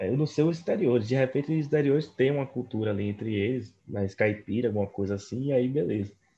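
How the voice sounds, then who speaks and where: A man speaks at a fairly quick pace with hardly any pauses, his voice somewhat breathy. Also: medium pitch for a man, ordinary pitch variation. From Northeast Brazil. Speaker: podcast co-host. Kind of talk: casual chat.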